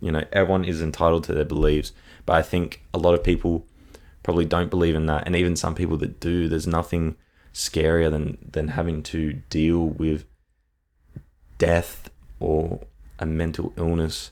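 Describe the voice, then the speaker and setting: At a moderate pace, a man with a very deep, low pitch speaks in a monotone, flat way with long, frequent pauses. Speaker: podcast host. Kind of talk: solo podcast review monologue. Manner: halting, with verbal tics and ums.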